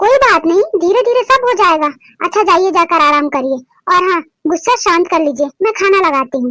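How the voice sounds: Using a cartoonish character voice at an extremely high pitch, a woman speaks at a moderate pace with very wide pitch swings.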